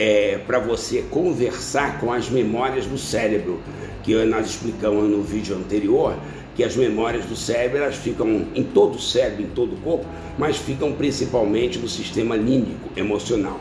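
Music plays in the background as a man speaks at a moderate pace and medium pitch with ordinary pitch variation and audible room echo. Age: 60s. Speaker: endocrinologist. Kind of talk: interview.

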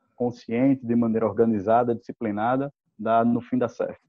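Talking fairly quickly, a man keeps a medium pitch and a monotone, flat intonation. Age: 30s. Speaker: law graduate, course student. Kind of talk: casual interview. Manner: halting, many fillers.

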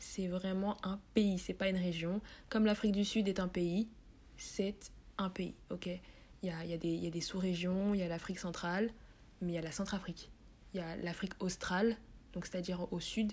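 A somewhat breathy woman's voice, flat and monotone, broken by long, frequent pauses. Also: medium pitch for a woman, moderate pace. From France, Paris. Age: 20s. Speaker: podcast host and journalism student. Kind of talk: casual monologue.

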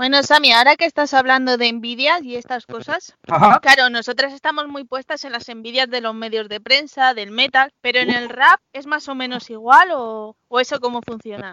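Bright and sharp in tone, a woman speaks at a high pitch with hardly any pauses, ordinary pitch variation, and big swings in loudness, in a dry, close recording with no echo. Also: moderate pace. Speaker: podcast co-host. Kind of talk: casual chat. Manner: laughs a lot.

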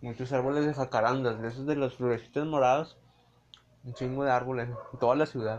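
The speaker talks at a very fast pace with monotone, flat intonation and a Mexican accent. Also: man, medium pitch for a man. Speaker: friend of the host. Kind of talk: casual chat.

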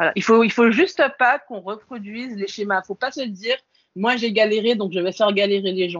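With a plain, everyday voice, a woman talks at a fairly quick pace and a fairly high pitch, showing ordinary pitch variation. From French Antilles. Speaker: PhD student in biomedical research, engineer. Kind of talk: interview.

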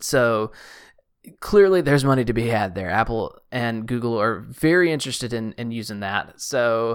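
Here is a man with a normal speaking voice, medium in pitch and lively in intonation. He keeps a moderate pace on a very clean recording with a silent background. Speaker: podcast co-host. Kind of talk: casual chat.

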